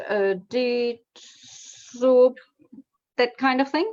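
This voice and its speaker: In a German accent, a woman speaks with fairly even intonation. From Germany. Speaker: copy-editor and proofreader. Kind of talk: casual chat. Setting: live video call stream. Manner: halting, many repeated words.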